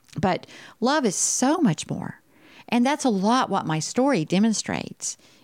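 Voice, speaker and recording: A woman's animated, fairly slow voice in a Texan accent, with lively intonation, on a very clean recording with a silent background. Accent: Texan US Southern. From Texas. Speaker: podcast host sharing her life story. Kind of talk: personal monologue, motivational testimony. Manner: animated, frequent laughter.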